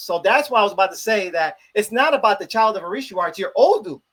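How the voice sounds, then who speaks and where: Speaking in a Chicago accent, a man talks at a very fast pace with hardly any pauses and a high pitch. His intonation is lively and his loudness swings widely. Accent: Chicago American English. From US Midwest, Chicago. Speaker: religious priest. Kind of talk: interview, religious explanation.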